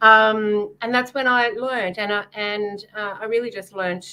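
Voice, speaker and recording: A woman with a medium pitch and a bright, sharp tone speaks at a fairly slow pace with ordinary pitch variation. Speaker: psychic and author. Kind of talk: casual podcast interview.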